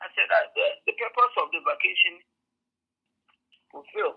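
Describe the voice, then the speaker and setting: A woman speaks with a Ghanaian accent. Her pace is moderate. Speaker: community member helping new African arrivals. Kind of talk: interview answer. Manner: hesitant, conversational.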